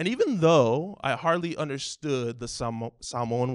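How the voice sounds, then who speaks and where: In a normal speaking voice with an American accent, the speaker talks at a fairly slow pace with lively intonation over a quiet background. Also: man. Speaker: church elder, guest preacher. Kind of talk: sermon.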